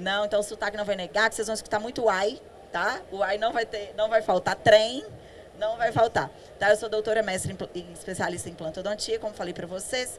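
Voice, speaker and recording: In a Minas Gerais accent, a woman with a fairly high pitch talks at a fairly quick pace with fairly even intonation. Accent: Minas Gerais Brazilian Portuguese. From Brazil, Minas Gerais. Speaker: dentist, implantology specialist. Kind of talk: conference talk. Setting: stage with audience. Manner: conversational, with many fillers.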